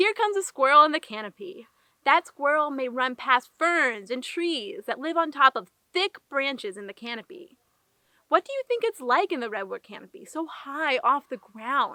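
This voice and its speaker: A woman with a high, bright, sharp voice and a gentle tone speaks at a moderate pace. Her pitch swings very widely and her loudness varies a lot, in a dry, close sound with no echo. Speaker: park ranger. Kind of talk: children's educational puppet show narration. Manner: friendly, gentle.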